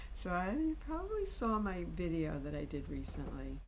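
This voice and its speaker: A woman talks at a fairly slow pace. Behind her, background noise is noticeable. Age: 60s. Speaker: artist. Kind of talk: presentation talk; personal video diary. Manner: animated.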